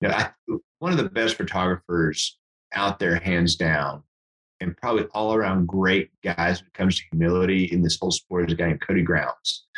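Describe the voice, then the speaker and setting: A man's very deep, low voice at a fairly quick pace, with fairly even intonation, very even loudness, and a dry, close sound with no echo. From Texas Panhandle (Amarillo) and New Mexico. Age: 40s. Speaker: hunting and fly fishing guide. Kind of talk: casual chat.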